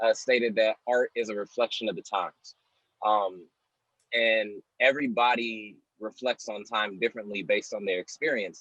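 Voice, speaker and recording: Here is a man with an ordinary speaking voice, pitched in the medium range. He keeps a moderate pace, and his intonation stays fairly even. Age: young. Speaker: spoken word poet. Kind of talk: interview answer.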